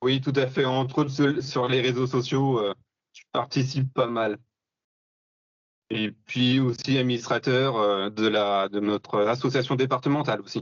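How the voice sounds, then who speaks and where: A man of medium pitch talks at a fairly slow pace with fairly even intonation. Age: 30s. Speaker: bow hunter and hunting instructor. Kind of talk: podcast interview. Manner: hesitant, many fillers.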